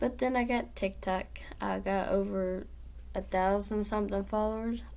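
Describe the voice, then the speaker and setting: A woman speaks at a moderate pace with very even loudness. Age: 20s. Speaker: vlogger. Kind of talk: casual vlog monologue.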